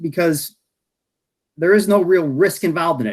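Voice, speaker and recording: A mumbling man with an American accent. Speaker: health insurance industry expert. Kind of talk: presentation at online meeting. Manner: fast.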